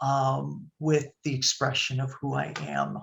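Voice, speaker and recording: Music plays in the background as a woman speaks with an American accent. Her pace is very slow. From Chicago area, US Midwest. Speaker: nonprofit executive director, presenter. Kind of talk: webinar presentation. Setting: video call. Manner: hesitant, many fillers.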